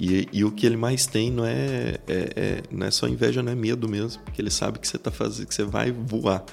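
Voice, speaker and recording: A man with a fairly low pitch and vocal fry talks with hardly any pauses, his pitch swinging very widely. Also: fairly quick pace. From Brazil, Goiás (Iporá). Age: 30s. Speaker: business executive. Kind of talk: podcast interview.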